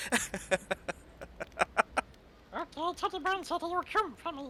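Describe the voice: A put-on character voice at an extremely high pitch speaks at a very slow pace. Clear background noise is audible.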